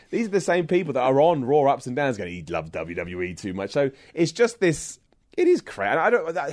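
The background is silent in this very clean recording. A man delivers his lines fairly quickly. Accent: British. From England, Luton near London. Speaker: wrestling commentator and online presenter. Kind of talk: interview conversation. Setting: in person, London.

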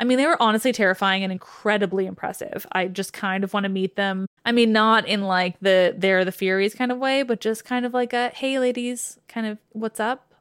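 On a very clean recording with a silent background and a dry, close sound with no echo, a woman with a fairly high voice talks at a fairly quick pace with hardly any pauses. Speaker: mythology podcaster. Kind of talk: dramatic second-person scary story narration. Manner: enthusiastic, self-interrupting digressions.

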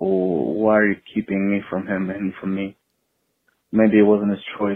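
In an American accent, the man talks at a fairly low pitch with monotone, flat intonation. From Texas. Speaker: caller. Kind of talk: personal testimony. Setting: phone call. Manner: halting.

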